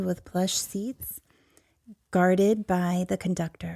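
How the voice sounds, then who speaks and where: A soft-spoken woman with a calm, soothing tone speaks at a moderate pace and medium pitch, her intonation monotone and flat, in a very clean, dry, close recording with no echo and a silent background. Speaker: podcast host and storyteller. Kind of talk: sleep story. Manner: soft, calm, soothing.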